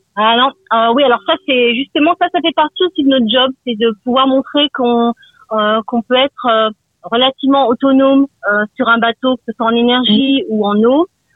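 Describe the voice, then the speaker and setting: A woman speaks at a moderate pace in a high voice, her pitch rising and falling in an ordinary way, her loudness very even, with long pauses coming often. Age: 50s. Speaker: radio caller. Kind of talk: phone-in testimony.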